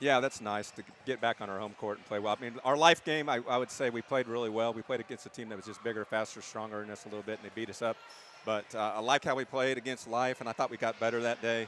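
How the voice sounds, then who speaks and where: Speaking at a very fast pace with hardly any pauses, a man at medium pitch keeps his intonation fairly even while his loudness swings a lot. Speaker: basketball coach. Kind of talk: post-game interview. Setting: gym.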